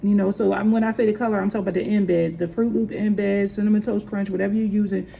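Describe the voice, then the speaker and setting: Against noticeable background noise, a woman speaks with fairly high pitch and fairly even intonation. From Philadelphia, US. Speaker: candle maker. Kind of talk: tutorial. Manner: casual, hesitant with fillers.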